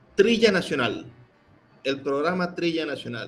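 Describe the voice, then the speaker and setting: Music plays behind a man who speaks with lively intonation at a fairly slow pace and a fairly high pitch. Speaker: radio and podcast interviewer and host. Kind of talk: interview question.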